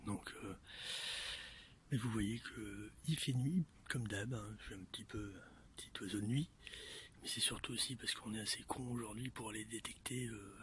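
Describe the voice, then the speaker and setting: A man whispers at a fairly slow pace, with long, frequent pauses. His loudness swings widely. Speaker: metal detecting hobbyist vlogger. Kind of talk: casual vlog narration. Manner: whispering, low voice; hesitant, many fillers.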